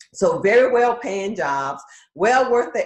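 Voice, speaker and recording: A woman talks in a normal speaking voice. Her pace is fairly slow, with ordinary pitch variation. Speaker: career coach and podcast host. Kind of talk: live stream talk.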